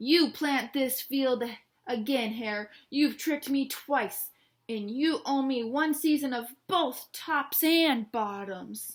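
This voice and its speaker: In a put-on character voice, a woman growls at a high pitch and a very slow pace, on a very clean recording with a silent background. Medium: read story. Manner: slow, drowsy.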